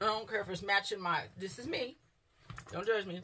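A woman speaks with ordinary pitch variation. Light background noise is present. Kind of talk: casual vlog chat. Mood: relaxed, upbeat. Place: home room. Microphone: phone near.

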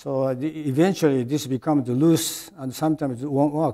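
A man talks at a fairly high pitch with a Japanese accent. His pace is moderate, and the background is quiet. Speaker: retired medical device engineer and executive. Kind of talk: interview. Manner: halting, many fillers. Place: studio.

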